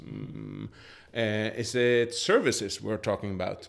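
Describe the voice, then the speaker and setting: In a Swedish accent, a man talks at a fairly slow pace with ordinary pitch variation. The recording is very clean and the background silent. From Sweden. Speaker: chef and culinary researcher. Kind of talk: interview.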